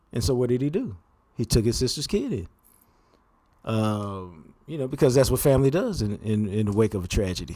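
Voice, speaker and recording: Talking at a fairly quick pace with lively intonation, a man with an American accent has a medium pitch and a dark, mellow tone on a very clean recording with a silent background. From Texas, Dallas-Fort Worth. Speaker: sports journalist. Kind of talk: casual chat.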